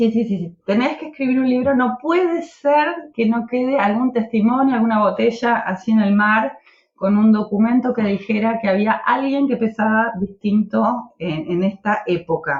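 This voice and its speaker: A woman's voice, somewhat breathy and fairly high in pitch. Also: moderate pace. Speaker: political activist. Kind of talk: podcast interview.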